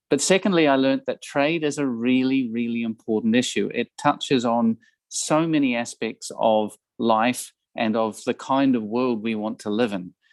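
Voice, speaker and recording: A man with a New Zealand accent speaks at a moderate pace with ordinary pitch variation. The sound is dry and close, with no echo. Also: medium pitch for a man, quiet background. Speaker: ambassador. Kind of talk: guest talk to students. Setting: video call. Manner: hesitant with fillers and repetitions.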